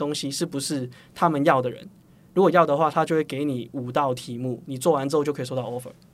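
A man with a slight Hong Kong accent speaks at a fairly quick pace and a fairly high pitch, his intonation fairly even. The recording is very clean, with a silent background. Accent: Hong Kong accent in Mandarin, slight. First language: Cantonese (speaking Chinese). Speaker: startup founder and CEO. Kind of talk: interview.

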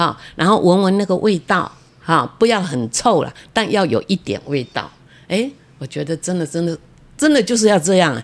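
At a moderate pace, a woman with a fairly low pitch and vocal fry speaks with very wide pitch swings and big shifts in loudness. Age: 80s. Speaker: retired civil servant and author. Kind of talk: interview.

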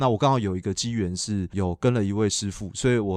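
Talking at a very fast pace, a man speaks in a fairly low pitch. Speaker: dairy cattle veterinarian and dairy brand founder. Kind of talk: casual interview.

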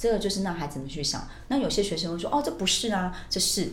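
A woman's fairly low voice with lively intonation, amid noticeable background noise and audible room echo. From Taiwan, raised in Australia from age 12. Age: 40s. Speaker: bilingual teacher. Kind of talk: interview.

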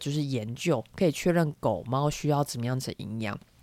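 Lively intonation runs through a very clean recording with a silent background. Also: woman. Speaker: veterinarian podcast co-host. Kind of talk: casual chat.

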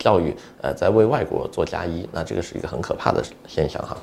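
A man's dark, mellow voice with vocal fry at a fairly quick pace. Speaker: immigration consultant and podcast host. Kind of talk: solo podcast monologue.

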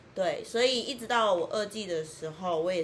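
Room echo is audible as a woman speaks at a moderate pace with ordinary pitch variation. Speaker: tour leader. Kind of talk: casual chat. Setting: in person, same room.

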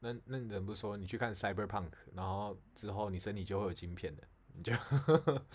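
A man's voice is somewhat breathy. He speaks fairly quickly, with ordinary pitch variation. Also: fairly low pitch for a man. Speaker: podcast co-host. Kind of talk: casual chat. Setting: live stream over call.

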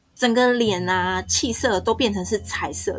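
A woman speaks at a fairly high pitch while music plays in the background. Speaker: guest, bullying survivor. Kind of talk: personal testimony.

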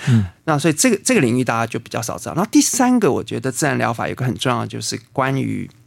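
The man speaks at a very fast pace with hardly any pauses. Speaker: botanist and natural healing teacher. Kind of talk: interview conversation; guided meditation.

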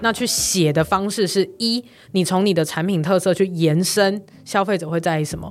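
A woman speaks in a plain, everyday voice at medium pitch, keeping a moderate pace and fairly even intonation. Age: 20s. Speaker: online course producer and company founder. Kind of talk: interview.

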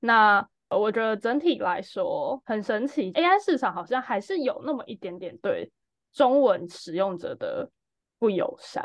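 A woman with a Taiwanese accent speaks at a fairly slow pace in a high pitch, her voice swinging very widely up and down. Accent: Taiwanese Mandarin. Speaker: startup founder. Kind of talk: casual chat.

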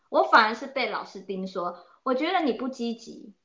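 A woman talks at a moderate pace. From Taiwan. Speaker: oboist and music teacher. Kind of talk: interview. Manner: hesitant, many fillers.

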